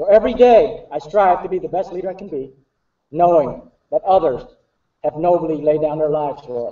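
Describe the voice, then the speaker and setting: A man with a Vietnamese accent speaks with a high pitch and ordinary pitch variation. His loudness swings widely. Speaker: army officer. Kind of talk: formal speech. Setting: stage with audience. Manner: formal.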